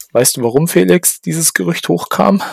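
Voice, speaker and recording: The sound is dry and close with no echo as a man speaks at a fairly high pitch with very wide pitch swings. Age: 30s. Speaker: podcast co-host. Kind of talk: casual chat.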